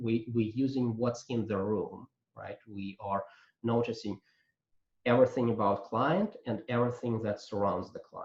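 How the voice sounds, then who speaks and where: Somewhat breathy, a man speaks at a medium pitch. His pace is moderate. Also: fairly even intonation. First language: not English. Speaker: coaching trainer. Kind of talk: lecture. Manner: halting, many fillers.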